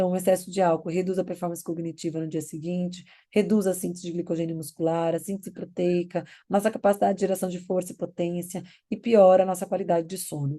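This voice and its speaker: Against a quiet background, a woman speaks at a very fast pace in a fairly low, dark, mellow voice with monotone, flat intonation. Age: 40s. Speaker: nutritionist. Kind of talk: lecture. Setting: recorded online class.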